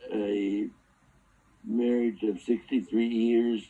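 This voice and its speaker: The intonation is monotone and flat. It comes with an American accent. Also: man. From US Pacific Northwest, Seattle. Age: 90s. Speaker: war veteran. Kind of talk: interview. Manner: halting.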